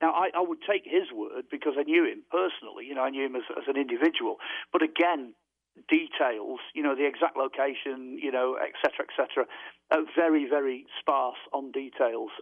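A man with a British accent talks at a fairly quick pace in a fairly high pitch. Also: ordinary pitch variation. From UK. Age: 60s. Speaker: author and UFO researcher. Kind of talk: radio interview.

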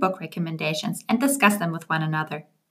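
A woman with a non-native accent speaks with lively intonation over music in the background. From Germany. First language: German. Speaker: book podcast host. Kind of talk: podcast intro monologue.

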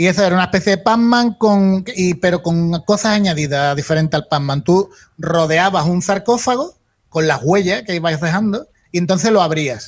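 The man's high-pitched voice carries ordinary pitch variation and keeps a moderate pace. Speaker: retro video game streamer. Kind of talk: casual chat.

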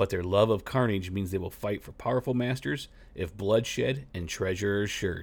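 In a very clean recording with a silent background, a man with an unremarkable speaking voice talks at a moderate pace, fairly low in pitch, with ordinary pitch variation. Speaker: tabletop gaming podcast host. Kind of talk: scripted narration of monster lore and fiction. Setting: solo podcast recording. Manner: steady, narrator-like, measured delivery.

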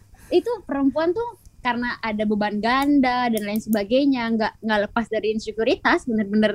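Speaking at a fairly quick pace with hardly any pauses, a woman uses an unremarkable speaking voice, fairly high in pitch and with ordinary pitch variation. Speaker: law student activist. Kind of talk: casual chat.

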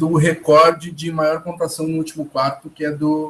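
This is a man talking. His pitch sits fairly high. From Porto Alegre, Rio Grande do Sul, Brazil. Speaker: basketball podcast host. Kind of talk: casual sports chat.

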